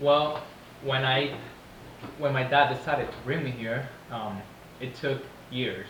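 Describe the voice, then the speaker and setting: A man with a Venezuelan accent at a medium pitch and fairly slow pace, with audible room echo and noticeable background noise. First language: Spanish. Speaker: interviewee, family member. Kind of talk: casual interview.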